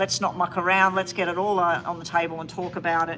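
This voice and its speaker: A woman speaks with an Australian accent over noticeable background noise. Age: 60s. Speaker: tarot reader. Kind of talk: live-stream tarot reading. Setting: live stream.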